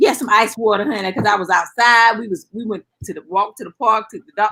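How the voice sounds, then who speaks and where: The voice, with a North Carolina accent, moves at a fairly quick pace with ordinary pitch variation. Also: woman, fairly high pitch for a woman. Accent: US Southern, North Carolina. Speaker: guest on a cooking talk show. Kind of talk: casual chat.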